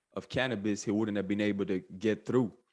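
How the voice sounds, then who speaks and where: A man talks at a fairly low pitch with fairly even intonation. The background is quiet. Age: 30s. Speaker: podcast host and former pro basketball player. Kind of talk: solo podcast monologue. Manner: halting, many repeated words and fillers.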